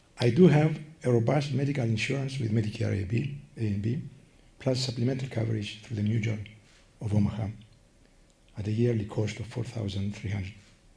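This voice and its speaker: A man with a Greek accent speaks at a fairly quick pace and medium pitch, with ordinary pitch variation and long, frequent pauses. His tone is dark and mellow, somewhat breathy, with audible room echo. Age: 80s+. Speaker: patient advocate. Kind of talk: prepared statement. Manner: slurred, less clear speech from Parkinson's; careful reading.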